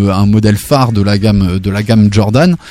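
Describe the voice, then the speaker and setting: Noticeable background noise behind a man talking fairly quickly. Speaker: radio co-host. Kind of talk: casual radio chat.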